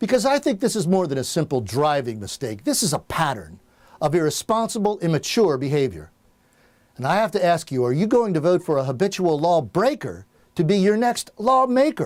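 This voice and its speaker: A man at a high pitch with very wide pitch swings and a fairly quick pace, on a very clean recording with a silent background. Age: 60s. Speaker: political candidate. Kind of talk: campaign speech. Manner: formal.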